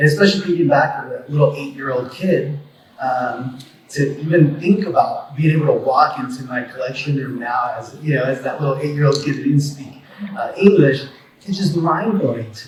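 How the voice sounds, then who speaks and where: A man with a Spanish accent talks at a moderate pace in a fairly high pitch, with ordinary pitch variation and big swings in loudness. Audible room echo and noticeable background noise fill the recording. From Mexico. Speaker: attorney and collector. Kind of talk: panel talk. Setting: convention stage with audience. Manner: halting, many repetitions.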